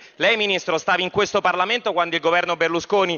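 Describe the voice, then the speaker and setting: This man speaks with a high pitch. His intonation stays fairly even. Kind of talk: parliamentary speech. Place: hall. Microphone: podium.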